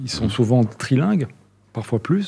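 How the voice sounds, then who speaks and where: On a very clean recording with a silent background, a man speaks at a medium pitch in a dark, mellow tone. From Netherlands. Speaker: chamber of commerce president. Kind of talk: interview.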